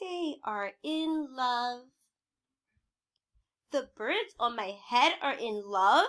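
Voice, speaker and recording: In a put-on character voice, the speaker goes at a very slow pace with long, frequent pauses on a very clean recording with a silent background. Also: woman, high pitch for a woman. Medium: read story. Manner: calm, upbeat.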